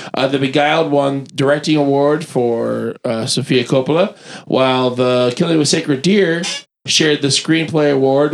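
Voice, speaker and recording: In an unremarkable speaking voice, a man talks at a fairly slow pace with fairly high pitch and fairly even intonation. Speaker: podcast panelist. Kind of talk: casual chat.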